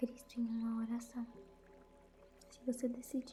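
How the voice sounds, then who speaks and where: Someone whispers in a soft-spoken, calm tone while music plays in the background. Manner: whispered, soft, calm.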